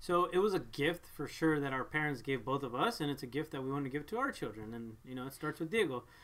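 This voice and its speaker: A man with a Spanish accent at a very fast pace, lively intonation and hardly any pauses. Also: fairly high pitch for a man. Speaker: parent vlogger. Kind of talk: casual chat. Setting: live stream.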